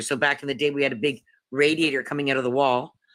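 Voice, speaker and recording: On a very clean recording with a silent background, a woman speaks in a very deep, low pitch. Her tone is bright and sharp. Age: 60s. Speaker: livestream participant. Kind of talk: casual chat.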